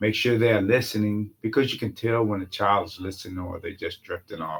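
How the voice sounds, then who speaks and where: A man talks at a fairly quick pace in a fairly low, somewhat breathy voice. His intonation stays fairly even. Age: 60s. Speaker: uncle and father figure, guest. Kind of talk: casual interview conversation.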